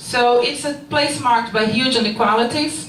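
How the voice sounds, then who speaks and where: A woman with a fairly high pitch talks at a moderate pace, her pitch varying in an ordinary way, while noticeable background noise and audible room echo fill the recording. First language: Portuguese. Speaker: researcher. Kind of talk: conference presentation. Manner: partly reading, hesitant.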